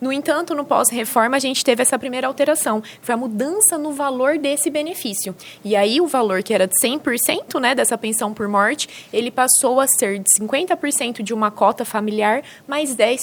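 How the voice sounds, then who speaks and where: Over noticeable background noise, a woman with a high pitch talks at a fairly quick pace with ordinary pitch variation. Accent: interior São Paulo. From interior of São Paulo state, Brazil. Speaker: social security lawyer. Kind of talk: podcast interview.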